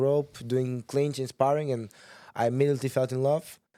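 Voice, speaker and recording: A man's dark, mellow tone with a Portuguese accent. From Portugal, Sintra near Lisbon. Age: 20s. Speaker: kickboxer. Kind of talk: casual interview. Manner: halting, many restarts.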